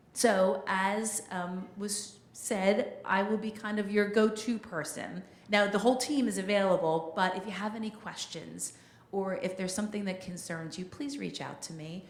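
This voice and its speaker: A woman with a medium pitch and ordinary pitch variation talks with big swings in loudness, heard with audible room echo and noticeable background noise. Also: moderate pace. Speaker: community liaison, former news reporter. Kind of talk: town hall announcement.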